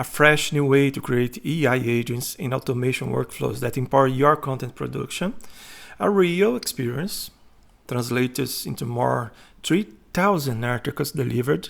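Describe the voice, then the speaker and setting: A man's medium-pitched voice in a Brazilian Portuguese accent, with ordinary pitch variation and a moderate pace. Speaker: content writer. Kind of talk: self-promotional presentation.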